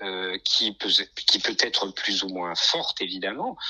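A man talks very slowly. Noticeable background noise runs underneath. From France, Nice. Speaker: concert pianist. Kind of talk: interview. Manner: halting.

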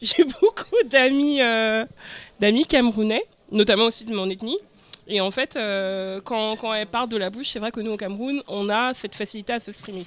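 Speaking at a moderate pace, a woman has a normal speaking voice with fairly high pitch and ordinary pitch variation. Her loudness swings a lot. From Cameroon, moved to France young. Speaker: podcast panelist, community event organizer. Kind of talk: casual chat.

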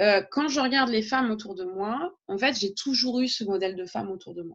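Fairly quick in pace, a woman speaks with lively intonation. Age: 30s. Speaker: teacher and blogger. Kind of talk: interview conversation. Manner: hesitant, with many fillers.

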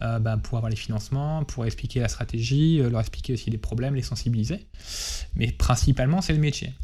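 The voice has a dark, mellow tone, comes across somewhat breathy, and moves at a fairly quick pace. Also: man, medium pitch for a man, ordinary pitch variation. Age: 30s. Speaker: chief information security officer. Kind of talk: interview. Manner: hesitant, many fillers.

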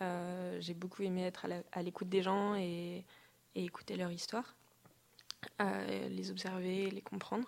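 Long, frequent pauses break up this woman's speech, which moves at a fairly slow pace. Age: 20s. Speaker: design student and traveler. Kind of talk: interview. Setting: studio.

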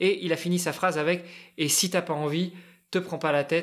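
A man speaks in an unremarkable speaking voice. His intonation is fairly even. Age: 40s. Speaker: amateur endurance athlete. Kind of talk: casual chat.

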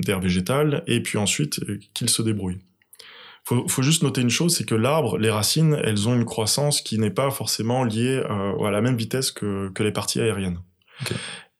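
A man with a plain, everyday voice talks at a fairly quick pace, his pitch medium with ordinary variation. The recording is very clean, with a silent background. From Senegal. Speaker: agronomist and soil specialist. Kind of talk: interview. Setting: farmhouse living room.

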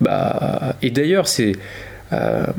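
This is a man speaking at a very slow pace. There is noticeable background noise. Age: 20s. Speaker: podcast co-host, teacher. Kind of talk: casual chat.

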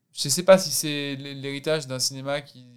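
Speaking at a moderate pace in a flat monotone, a man with a fairly high pitch is heard on a very clean recording with a silent background. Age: 30s. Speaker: actor. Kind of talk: casual chat.

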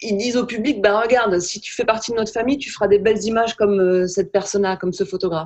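At a very fast pace, a woman talks with a medium pitch and fairly even intonation. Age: 40s. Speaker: photographer. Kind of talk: casual chat.

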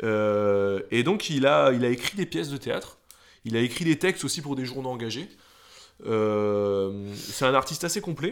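Swinging very widely in pitch around a medium level, a man talks at a fairly slow pace. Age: 20s. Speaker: podcast co-host. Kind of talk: casual chat.

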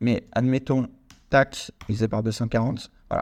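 Recorded very cleanly with a silent background, a man speaks in a medium pitch. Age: 20s. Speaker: podcast host and real estate investor. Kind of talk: solo podcast monologue. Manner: casual, with many fillers.

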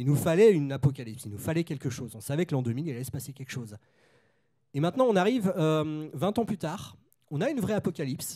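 The voice jumps sharply between loud and soft, and its pitch swings very widely. It races along very fast with a dark, mellow tone. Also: man, fairly high pitch for a man. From Nantes, western France. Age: 30s. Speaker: film critic and author. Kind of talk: panel discussion.

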